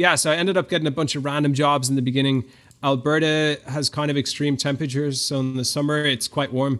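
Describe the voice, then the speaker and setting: Against a quiet background, a man with an Irish accent talks at a very fast pace in a fairly high pitch, his intonation monotone and flat. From Ireland. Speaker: online business founder. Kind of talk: interview. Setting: remote call.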